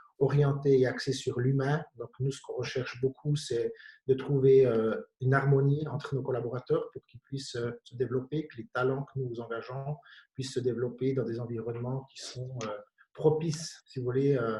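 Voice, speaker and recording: Speaking at a medium pitch, a man keeps a monotone, flat intonation while his loudness swings widely. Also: moderate pace. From Switzerland, Bienne (canton of Bern). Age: 50s. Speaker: company director. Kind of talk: panel discussion.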